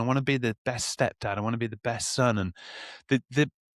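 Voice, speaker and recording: With a Birmingham accent, the speaker goes at a fairly quick pace in a very clean recording with a silent background and a dry, close sound with no echo. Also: man. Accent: Birmingham (Brummie). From Birmingham, England. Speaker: sober men podcast co-host. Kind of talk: casual chat.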